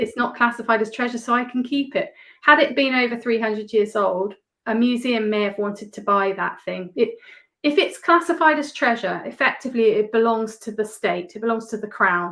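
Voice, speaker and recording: Bright and sharp in tone, a woman with an English accent and a fairly high pitch talks at a fairly quick pace. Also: ordinary pitch variation. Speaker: metal detectorist. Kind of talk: casual interview chat.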